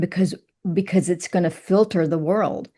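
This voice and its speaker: Speaking with a Southern US accent, a woman has a medium pitch, a dark, mellow tone and fairly even intonation. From Kentucky. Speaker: writer and poet. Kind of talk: interview.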